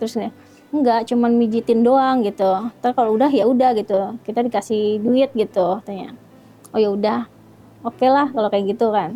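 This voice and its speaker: A woman's fairly high voice moves along at a moderate pace, its intonation fairly even. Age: 40s. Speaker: interviewee telling life story. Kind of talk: interview testimony. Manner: halting.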